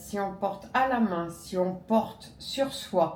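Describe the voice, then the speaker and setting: Speaking at a very slow pace, a woman uses ordinary pitch variation, with audible room echo around her voice. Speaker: native French speaker, conversation partner. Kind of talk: casual conversation.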